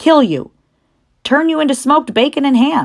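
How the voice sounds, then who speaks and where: In a put-on character voice, a female-sounding speaker talks at a moderate pace in a high pitch. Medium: read story. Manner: emotional, tearful.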